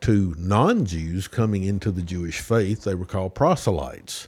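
With a Tennessee accent, a man speaks at a moderate pace in a fairly low, somewhat breathy voice with ordinary pitch variation, on a very clean recording with a silent background. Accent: Southern US (Tennessee). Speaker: teaching pastor. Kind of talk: casual Bible study discussion.

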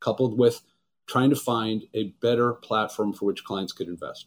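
Talking at a fairly quick pace with an American accent, a man at medium pitch has an unremarkable speaking voice. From Los Angeles, California. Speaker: wealth management executive. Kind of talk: interview.

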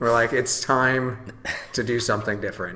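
American-accented male speech, room echo clearly audible. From western Michigan. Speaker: brewery owner. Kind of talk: casual chat. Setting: at his brewery.

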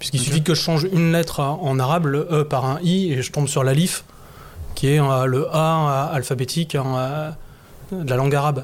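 A man talks in a normal speaking voice at a fairly high pitch. His intonation is fairly even and his pace moderate. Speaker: masonic grand master. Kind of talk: discussion. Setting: in front of a live audience.

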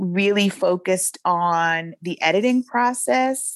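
In an American accent, a plain, everyday voice with ordinary pitch variation comes through dry and close, with no echo. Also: woman. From US South, Shreveport, Louisiana. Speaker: poet and writer. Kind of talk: interview conversation. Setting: podcast interview.

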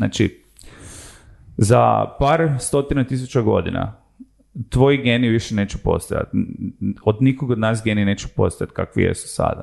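Moderate pace from a man with medium pitch, ordinary pitch variation and long, frequent pauses. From Croatia, Zagreb. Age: 30s. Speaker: sociologist and tech entrepreneur. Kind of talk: casual interview chat.

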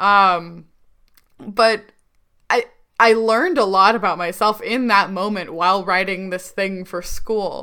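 At a fairly slow pace, a woman with a bright, sharp tone and medium pitch speaks with fairly even intonation and long, frequent pauses. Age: 20s. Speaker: podcast co-host with a rare disease. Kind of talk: casual chat.

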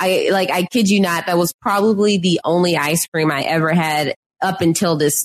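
With an American accent, the speaker keeps a moderate pace, fairly even intonation and very even loudness. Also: woman, fairly low pitch for a woman, dry, close sound with no echo. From Texas (Houston area). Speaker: podcast guest. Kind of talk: casual chat.

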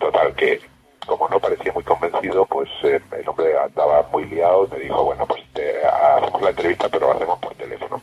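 A man speaks at a fairly quick pace. Noticeable background noise is present, though the sound is dry and close with no echo. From Extremadura, Spain. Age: 50s. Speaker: science radio presenter. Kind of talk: interview. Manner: halting.

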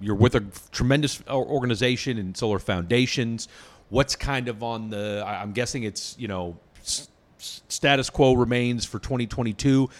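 Recorded very cleanly against a silent background, a man of medium pitch speaks at a moderate pace with ordinary pitch variation and big swings in loudness. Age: 40s. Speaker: podcast host. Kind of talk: interview. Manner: animated.

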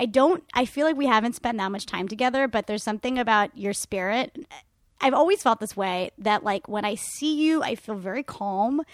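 Speaking at a fairly quick pace with an American accent and lively intonation, the voice sounds dry and close with no echo, on a very clean recording with a silent background. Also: woman, fairly high pitch for a woman. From Florida. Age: 30s. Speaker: comedian and voiceover actor. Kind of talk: casual chat. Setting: in bed, informal recording. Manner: consciously lowered pitch.

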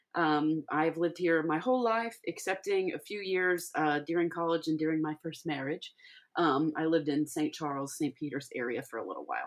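At a fairly quick pace, a woman with an American accent talks with ordinary pitch variation. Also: fairly low pitch for a woman. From Missouri Ozarks (Laclede County). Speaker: podcast host. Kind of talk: casual monologue introduction. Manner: halting with many fillers.

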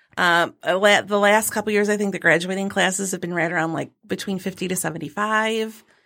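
On a very clean recording with a silent background, a woman with an American accent and medium pitch speaks at a fairly quick pace with hardly any pauses, her bright, sharp tone held in fairly even intonation. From Michigan. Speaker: middle school English teacher. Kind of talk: casual interview chat. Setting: studio.

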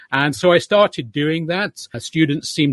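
A man speaks with a British accent and ordinary pitch variation. The sound is dry and close with no echo. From Manchester, England. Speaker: author and professor. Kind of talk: interview about a book.

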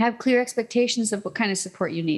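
A woman speaks with a high pitch and very wide pitch swings. The recording is very clean, with a silent background. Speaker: podcast host. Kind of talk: solo podcast monologue, mock-angry rant. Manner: animated, emphatic, punchy; laughs often, playful.

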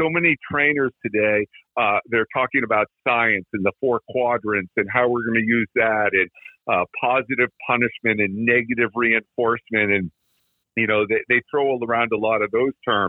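At a moderate pace, a man with a plain, everyday voice and medium pitch talks with fairly even intonation and very even loudness. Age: 60s. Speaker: dog trainer. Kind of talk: interview.

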